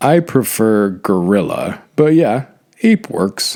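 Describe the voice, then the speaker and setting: In a put-on character voice, a man speaks very slowly at a medium pitch, his pitch swinging very widely. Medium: read story. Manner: mild, agreeable.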